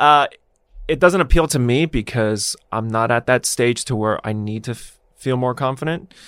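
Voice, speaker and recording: A man speaks in an ordinary speaking voice at a moderate pace and medium pitch with ordinary pitch variation, in a very clean recording with a silent background and a dry, close sound with no echo. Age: 30s. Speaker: fitness and nutrition coach. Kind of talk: casual interview.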